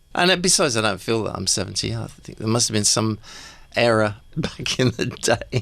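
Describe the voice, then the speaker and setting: A man with an English accent at medium pitch, lively intonation and a moderate pace. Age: 70s. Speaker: rock keyboardist. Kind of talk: radio interview.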